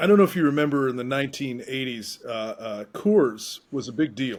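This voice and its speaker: In a normal speaking voice of medium pitch, a man talks at a moderate pace with lively intonation and big swings in loudness. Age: 50s. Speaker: investor. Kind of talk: casual chat.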